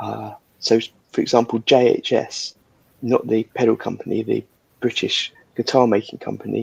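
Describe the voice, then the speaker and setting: A soft-spoken voice talks at a moderate pace. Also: man, dry, close sound with no echo. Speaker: livestream host of guitar builders chat. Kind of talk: casual chat.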